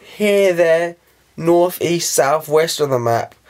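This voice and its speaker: Very slow speech in a British accent with lively intonation. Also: man. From England. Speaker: vlogger. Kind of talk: casual talk to camera.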